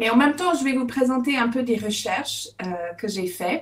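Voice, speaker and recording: A woman with an English-Canadian accent, high-pitched, with ordinary pitch variation. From Alberta, Canada. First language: English (speaking French). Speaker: author and public speaking coach. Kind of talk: webinar talk. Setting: video call. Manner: hesitant, many fillers.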